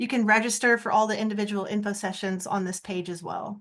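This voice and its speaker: Against a quiet background, a woman with a fairly high pitch and a plain, everyday voice speaks at a moderate pace. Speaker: arts program staff presenter. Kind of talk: online info session presentation.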